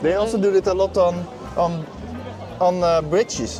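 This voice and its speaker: A man in a Dutch accent, high-pitched, at a fairly quick pace with ordinary pitch variation, music in the background. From Netherlands. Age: 30s. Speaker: travel vlogger. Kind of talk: casual vlog tour.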